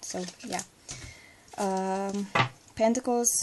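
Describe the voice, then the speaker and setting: With a non-native accent, a woman speaks at a very slow pace in a medium pitch, with ordinary pitch variation. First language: not English. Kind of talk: casual talk to camera.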